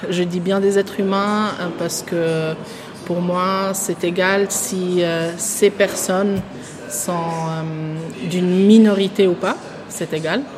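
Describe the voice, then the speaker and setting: A woman at a very slow pace, long and frequent pauses, fairly even intonation, noticeable background noise. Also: medium pitch for a woman. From Switzerland, Bern region. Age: 20s. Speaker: social work student. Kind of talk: interview. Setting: café. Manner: halting.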